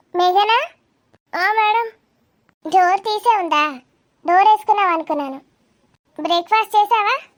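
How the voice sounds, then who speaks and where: In a loud, squeaky, cartoonish character voice at an extremely high pitch, a woman speaks at a fairly slow pace with lively intonation. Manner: loud, firm, bossy but friendly.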